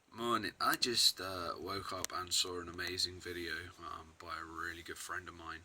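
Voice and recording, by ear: In a put-on character voice, a man speaks very deep and low, croaky and raspy. His pace is moderate.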